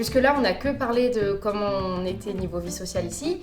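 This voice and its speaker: A woman's voice with music in the background. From France. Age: 20s. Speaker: corporate lawyer. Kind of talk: casual talk to camera. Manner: mumbled, casual slang.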